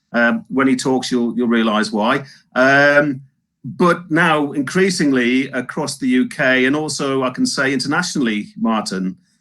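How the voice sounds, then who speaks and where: A man's bright, sharp, fairly high voice with lively intonation at a fairly slow pace. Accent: Northeast England. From Northeast England. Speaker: webinar host. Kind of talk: live webinar interview. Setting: live webinar.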